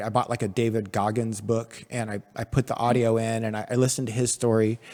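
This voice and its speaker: Speaking fairly quickly, a man uses an ordinary speaking voice at a medium pitch. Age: 40s. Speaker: podcast host. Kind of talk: casual interview. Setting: studio.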